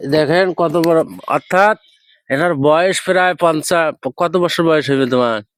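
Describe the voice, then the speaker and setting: A man speaks at a high pitch with ordinary pitch variation. The recording is very clean with a silent background, dry and close with no echo. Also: very even loudness. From northern Bangladesh, Rangpur (Pirgachha). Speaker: video blogger. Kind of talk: casual street interview vlog.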